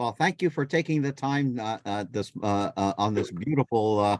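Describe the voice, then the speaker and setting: Dry and close with no echo, a man's fairly low voice carries lively intonation. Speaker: board chair interviewer. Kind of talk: board meeting interview. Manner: halting, many filler words.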